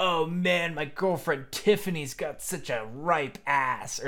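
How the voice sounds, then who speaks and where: Putting on a character voice, a man speaks at a fairly high pitch and a fairly slow pace. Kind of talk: crude, casual slang. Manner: mocking, exaggerated.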